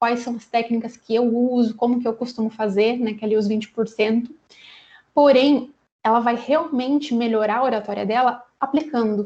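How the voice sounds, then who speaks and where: A woman's fairly high-pitched voice, dark and mellow in tone, at a moderate pace with fairly even intonation. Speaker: HR specialist. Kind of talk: lecture.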